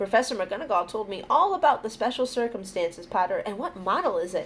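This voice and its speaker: Putting on a squeaky character voice, a woman talks at a very fast pace in a fairly high pitch, with clear background noise. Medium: read story.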